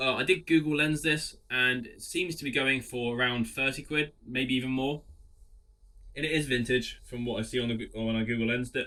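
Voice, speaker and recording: A man with an English accent, medium pitch, bright, sharp tone, fairly even intonation and moderate pace. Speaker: clothing reseller. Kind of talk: casual vlog talk.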